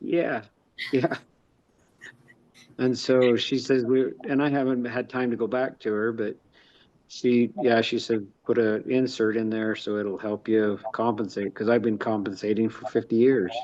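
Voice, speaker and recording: Against a quiet background, a man with an unremarkable speaking voice talks at a medium pitch. His pace is fairly slow and his intonation fairly even. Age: 50s. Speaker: real estate investor and construction worker. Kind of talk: casual chat.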